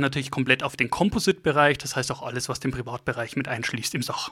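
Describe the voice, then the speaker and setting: A man talks at a very fast pace in a bright, sharp tone with ordinary pitch variation. The recording is very clean, with a silent background. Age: 40s. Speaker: insurance key account manager. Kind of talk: interview. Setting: in person at a meeting venue.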